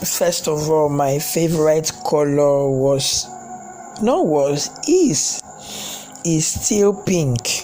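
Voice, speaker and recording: A man's fairly high voice at a very slow pace, with music in the background. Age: young. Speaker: personal vlogger sharing life confessions. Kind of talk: personal testimony. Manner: halting, repetitive.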